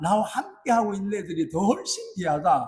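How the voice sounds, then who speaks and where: A man's high-pitched voice with a Gyeongsang accent, lively intonation, moderate pace, and audible room echo. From South Korea, Busan. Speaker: pastor. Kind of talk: sermon.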